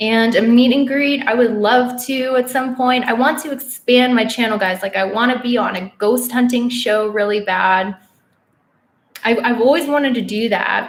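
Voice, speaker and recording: A woman with an American accent speaks at a high pitch. Her pace is moderate and her intonation fairly even. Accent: sounds very American when speaking Korean. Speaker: witch and astrology youtuber. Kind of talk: live stream Q&A.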